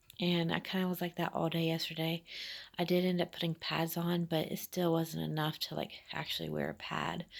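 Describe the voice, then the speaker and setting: Quiet and fairly quick, a woman's fairly low voice carries vocal fry and a monotone, flat intonation. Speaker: vlogger. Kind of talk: personal vlog. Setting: at home while babysitting. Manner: hesitant, many fillers.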